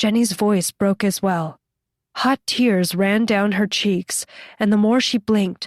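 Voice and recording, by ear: In a quiet background, text is read aloud in a natural voice.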